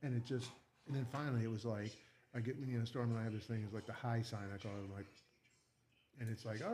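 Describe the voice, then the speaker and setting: The voice is loud. It moves at a very fast pace. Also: man. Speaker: live stream host. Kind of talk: casual chat. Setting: live stream.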